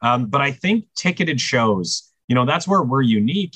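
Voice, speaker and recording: He speaks with a plain, everyday voice, pitched in the medium range for a man. His pace is moderate and his intonation lively. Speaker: festival executive director. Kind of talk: casual interview chat.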